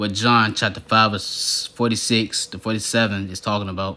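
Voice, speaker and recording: The man's pitch is fairly low. He speaks at a moderate pace in a monotone, flat intonation. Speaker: religious teacher. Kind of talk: bible teaching monologue. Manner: halting, stuttering.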